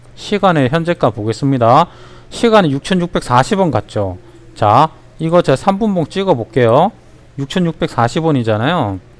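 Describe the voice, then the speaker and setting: A man with a strong Gyeongsang accent speaks at a moderate pace and fairly high pitch, with very wide pitch swings, very even loudness, and a dry, close sound with no echo. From Ulsan, South Korea. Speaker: stock market educator. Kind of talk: livestream stock tutorial. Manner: animated.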